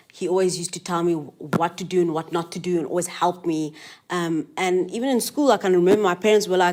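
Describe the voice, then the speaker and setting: Someone with a South African accent talks at a very fast pace with ordinary pitch variation. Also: woman, fairly low pitch for a woman. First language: Afrikaans. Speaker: interviewee. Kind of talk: interview.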